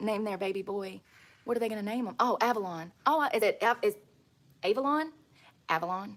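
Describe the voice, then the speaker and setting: A woman at a fairly high pitch and fairly quick pace, with ordinary pitch variation and long, frequent pauses. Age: 30s. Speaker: outdoor livestreamer. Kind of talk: casual chat. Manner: animated.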